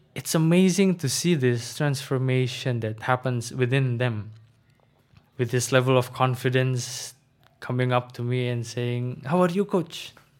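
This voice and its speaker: A man with an Indonesian accent talks at a very slow pace, his pitch varying in an ordinary way. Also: very clean recording, silent background. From Indonesia, Jakarta. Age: 20s. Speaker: student and former volunteer English trainer. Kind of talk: casual interview.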